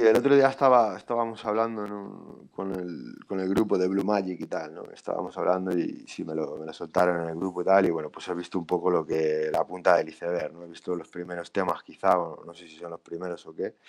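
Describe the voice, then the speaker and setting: A man talks fairly quickly with a very deep, low pitch, ordinary pitch variation and hardly any pauses. His loudness swings widely against a quiet background. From Spain, Valladolid; Spain. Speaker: rapper. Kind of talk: casual chat. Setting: live stream. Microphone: video call.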